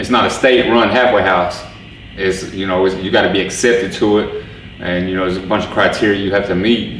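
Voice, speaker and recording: Room echo is audible, and background noise is noticeable. A man talks with fairly even intonation at a fairly low pitch. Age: 40s. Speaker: former prisoner in a halfway house. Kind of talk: testimony interview. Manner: halting, repeats words.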